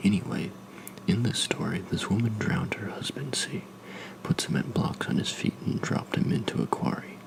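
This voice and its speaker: A man whispering in a calm tone at a moderate pace, with noticeable background noise. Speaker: ASMR creator, new to making videos. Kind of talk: narration of a horror story, first-person. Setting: recorded with a Blue Yeti USB microphone. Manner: calm, measured, soft-spoken.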